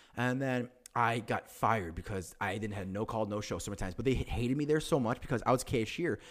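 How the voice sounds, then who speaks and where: On a very clean recording with a silent background, a man with a Chicago accent sounds animated, his intonation lively. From Chicago area, US Midwest. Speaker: podcast co-host. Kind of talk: casual chat.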